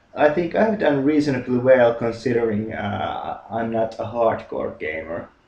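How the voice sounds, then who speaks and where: Against noticeable background noise, a man with a Finnish accent speaks at a moderate pace with hardly any pauses. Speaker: gaming YouTuber. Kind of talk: casual monologue. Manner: halting, many fillers and repetitions.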